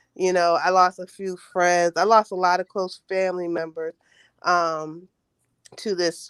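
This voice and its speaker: Speaking with an American accent, a woman talks at a fairly slow pace in a fairly low, monotone, flat voice. The recording is very clean, with a silent background and a dry, close sound with no echo. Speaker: caller on a diaspora travel live stream. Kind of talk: casual chat. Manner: halting.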